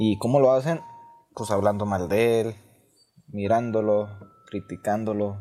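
Here a man speaks with a fairly low pitch. His pace is moderate, with ordinary pitch variation. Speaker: university student. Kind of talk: student speech. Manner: halting.

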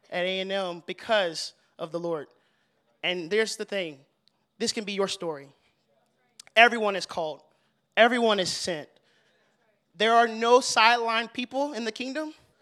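A man with an American accent uses a raised, projected voice that is high-pitched, bright and sharp, animated in tone with ordinary pitch variation, big swings in loudness and long, frequent pauses, on a very clean recording with a silent background. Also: moderate pace. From Texas, Fort Worth. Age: 20s. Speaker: young adult ministry leader. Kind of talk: testimony.

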